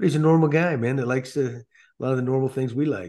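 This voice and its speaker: A man with an American accent speaks at a fairly quick pace in a dark, mellow tone with ordinary pitch variation against a quiet background. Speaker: former baseball manager, podcast host. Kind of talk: casual chat.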